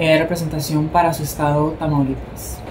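The speech moves at a moderate pace. Background noise is noticeable. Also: woman. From Mexico, Sonora. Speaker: beauty pageant commentator, vlogger. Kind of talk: casual vlog commentary. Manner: animated. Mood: warm, admiring. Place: home room. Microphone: phone near.

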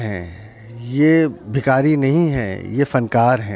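A man speaks with lively intonation. The sound is dry with no echo, and there is light background noise. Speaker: local channel reporter. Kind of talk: street report to camera, appeal. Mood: earnest, pleading. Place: street. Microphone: handheld.

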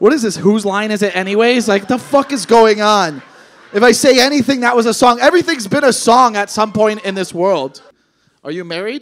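The voice is loud and animated, moving at a fairly quick pace with lively intonation. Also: man, high pitch for a man. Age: 30s. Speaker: comedian. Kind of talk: stand-up comedy with crowd work. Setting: stage with audience. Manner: animated, loud, irreverent, heckling audience members; fast, punchy, profane, with interjections and laughs. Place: stage. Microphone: handheld.

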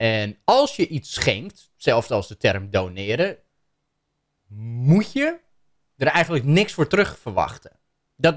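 A man's plain, everyday voice, fairly high in pitch and fairly slow, against a quiet background. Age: 30s. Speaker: YouTuber reacting to a video; content creator. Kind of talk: commentary on a video. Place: home room. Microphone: studio mic.

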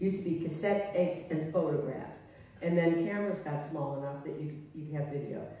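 There is strong room echo around a woman speaking at a fairly low pitch. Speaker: guest. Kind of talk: interview answer. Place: stage.

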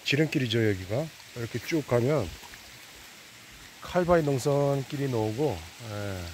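Speaking at a fairly slow pace with lively intonation, a man is heard in a dry sound with no echo and light background noise. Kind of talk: casual walking commentary. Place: forest. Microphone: phone near.

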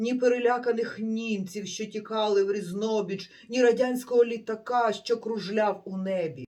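Someone is doing plain reading aloud.

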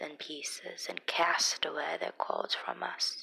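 A woman whispers. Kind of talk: Bible reading. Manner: expressive, not monotone.

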